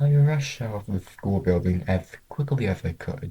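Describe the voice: A man speaks in a fairly low pitch with a dark, mellow tone, a slightly husky edge and ordinary pitch variation.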